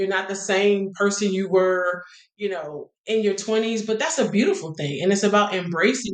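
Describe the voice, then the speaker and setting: A woman's normal speaking voice at medium pitch, moderate pace and ordinary pitch variation. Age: 50s. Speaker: singer. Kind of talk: interview.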